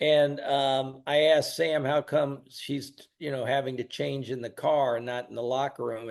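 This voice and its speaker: This man has an American accent and a medium pitch. He speaks at a moderate pace. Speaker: wrestling announcer and promoter. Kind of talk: interview storytelling. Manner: animated.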